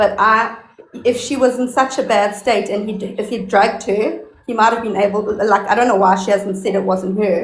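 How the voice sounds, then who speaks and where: With a South African accent, a woman speaks at a moderate pace and a fairly high pitch with fairly even intonation, amid noticeable background noise and audible room echo. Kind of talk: casual chat.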